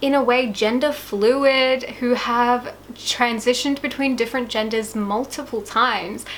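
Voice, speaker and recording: With a slight Australian accent, the speaker goes at a fairly slow pace with fairly even intonation over noticeable background noise. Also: woman, high pitch for a woman, hardly any pauses. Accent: slight Australian twang. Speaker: YouTuber. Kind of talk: casual video talk. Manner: casual, chatty.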